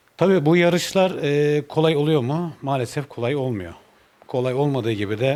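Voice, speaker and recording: Ordinary pitch variation runs through a man's speech, delivered at a moderate pace. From Turkey, Balıkesir. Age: 40s. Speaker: motorcycle racer and mechanic. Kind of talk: interview. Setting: motorcycle shop. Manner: hesitant with many fillers.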